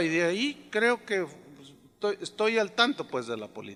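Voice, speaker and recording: A high-pitched man raises and projects his voice in a bright, sharp tone. His intonation is lively and his pace moderate. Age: 60s. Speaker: pastor. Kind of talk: sermon. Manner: conversational, anecdotal with acted dialogue.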